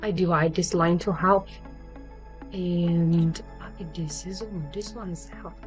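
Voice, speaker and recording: The speaker has a non-native accent. Music plays in the background. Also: woman. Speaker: 3D fashion design tutor. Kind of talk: software tutorial narration. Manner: hesitant, many fillers.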